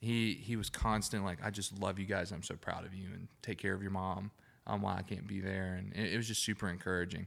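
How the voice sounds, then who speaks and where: In an Alabama accent, the speaker talks at a very fast pace with monotone, flat intonation. The recording is very clean, with a silent background. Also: man, fairly low pitch for a man. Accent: US Southern (Alabama). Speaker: podcast co-host. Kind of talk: casual chat.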